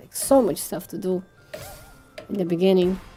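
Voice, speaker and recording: Pitch moves in a normal way across a voice with a dark, mellow tone. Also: woman. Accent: Portuguese. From Brazil. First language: Portuguese. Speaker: vtuber and game streamer. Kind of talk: casual live-stream chat while gaming. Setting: live stream. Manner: halting, with fillers and restarts.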